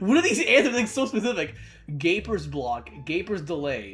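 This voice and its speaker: A man speaks at a fairly quick pace with very wide pitch swings while music plays in the background. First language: Spanish. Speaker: gaming YouTuber. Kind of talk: casual gameplay commentary. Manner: casual, halting with repetitions.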